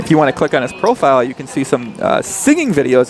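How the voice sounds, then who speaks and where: The tone is animated and the pace very fast, with music in the background. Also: man. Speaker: poker commentator. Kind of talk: live commentary. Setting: live stream at casino with crowd. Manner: casual, animated; monotone when talking strategy.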